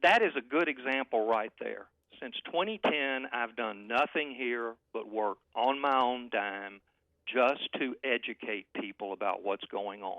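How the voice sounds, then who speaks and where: At a fairly slow pace, a man speaks with a medium pitch. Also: ordinary pitch variation. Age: 60s. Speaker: political analyst. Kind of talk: heated debate. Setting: phone call. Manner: animated.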